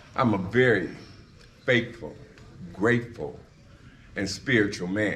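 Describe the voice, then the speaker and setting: Audible room echo surrounds the speaker. The American accent comes at a fairly slow pace. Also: man. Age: 60s. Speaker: retired high school football coach. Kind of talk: speech presenting an inductee.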